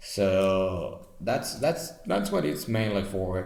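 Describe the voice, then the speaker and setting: A man with a non-native accent speaks at a very slow pace. His pitch is fairly low, with ordinary pitch variation. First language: non-native English speaker. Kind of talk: casual deck explanation to camera.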